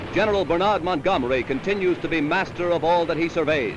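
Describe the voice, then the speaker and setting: With noticeable background noise behind him, a man speaks in a high-pitched voice with a dramatic tone and ordinary pitch variation. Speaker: newsreel narrator. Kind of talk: wartime newsreel narration. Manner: dramatic, emphatic.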